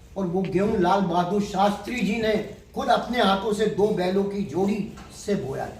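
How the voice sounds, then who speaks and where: The man's pitch is high and his intonation fairly even. Audible room echo and noticeable background noise fill the recording. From Delhi, India. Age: 70s. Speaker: agriculture businessman. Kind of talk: interview.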